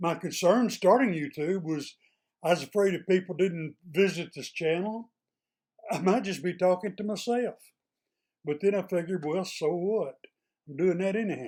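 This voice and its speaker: A man with an East Texas accent speaks in a high pitch with ordinary pitch variation. He takes long, frequent pauses. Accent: East Texas drawl. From East Texas, small town. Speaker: retired state employee, YouTuber. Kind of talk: casual monologue to camera. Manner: plainspoken, folksy.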